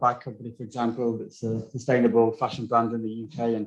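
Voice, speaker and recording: A man in a northern English accent talks at a fairly quick pace with a medium pitch. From northern England. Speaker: designer, agency founder. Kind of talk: testimonial interview. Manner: casual, hesitant with fillers.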